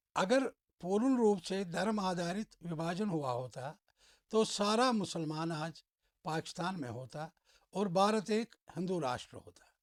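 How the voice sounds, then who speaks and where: The man's voice sits high for a man and has lively intonation. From Kashmir, India. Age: 60s. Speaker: social commentator. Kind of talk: opinion monologue.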